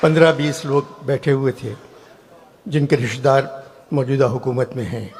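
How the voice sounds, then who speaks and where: A man talks at a medium pitch with ordinary pitch variation. Noticeable background noise runs under his voice. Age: 80s+. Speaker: satirist speaking at a public event. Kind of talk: satirical public speech to a hall audience. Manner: dry, witty.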